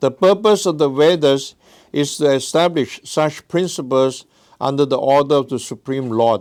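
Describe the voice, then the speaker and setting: Speaking at a moderate pace, a man with a non-native accent has a fairly high pitch and lively intonation. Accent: noticeable foreign. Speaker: guest religious lecturer. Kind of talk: reading aloud.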